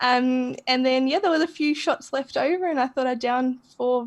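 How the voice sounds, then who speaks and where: Against a quiet background, a woman with an Australian accent speaks in a high pitch at a moderate pace with ordinary pitch variation. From Australia, rural Victoria. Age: 20s. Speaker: sobriety community founder. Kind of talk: podcast interview.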